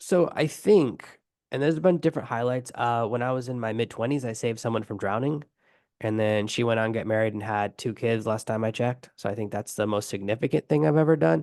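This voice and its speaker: A man's medium-pitched voice at a fairly quick pace, with lively intonation over a quiet background. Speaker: online business coach. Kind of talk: podcast interview. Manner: fast.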